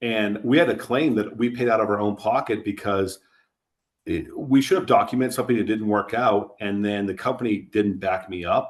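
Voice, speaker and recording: On a very clean recording with a silent background, a man with an unremarkable speaking voice and fairly low pitch talks at a moderate pace with ordinary pitch variation. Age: 40s. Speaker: insurance agency co-owner. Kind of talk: podcast interview. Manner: conversational, with frequent false starts.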